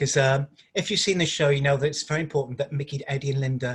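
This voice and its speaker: A man with a Liverpool accent, somewhat breathy, his intonation fairly even. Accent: Liverpool (Scouse). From Liverpool, England. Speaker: stage actor. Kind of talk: interview.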